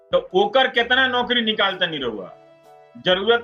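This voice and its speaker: A man's voice with ordinary pitch variation over music in the background. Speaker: TV news anchor. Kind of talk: live talk to viewers.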